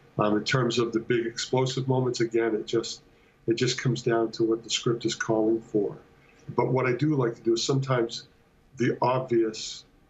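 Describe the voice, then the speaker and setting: A man speaks at a moderate pace in a somewhat breathy voice. His intonation stays flat and monotone. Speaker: guest. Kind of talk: interview answer. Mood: thoughtful, relaxed. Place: home room. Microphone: video call.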